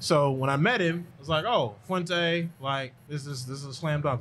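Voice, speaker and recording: Over light background noise, a man with a plain, everyday voice speaks fairly high with ordinary pitch variation. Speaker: podcast host. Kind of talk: casual interview. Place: studio. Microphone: studio mic.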